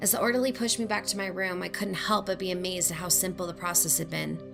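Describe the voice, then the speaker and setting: Music plays in the background while a woman talks at a fairly quick pace. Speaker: narrator. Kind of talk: horror story narration.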